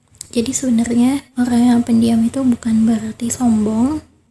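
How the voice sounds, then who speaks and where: Soft-spoken, a woman talks at a moderate pace in a high pitch, with a dark, mellow tone and monotone, flat intonation. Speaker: podcast host. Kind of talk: casual monologue.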